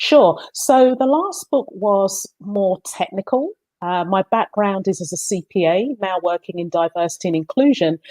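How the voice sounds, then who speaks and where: In a London accent, the voice carries a dark, mellow tone and lively intonation with hardly any pauses. The sound is dry and close, with no echo. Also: woman, medium pitch for a woman, moderate pace. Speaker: book co-author, accountant in diversity work. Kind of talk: interview.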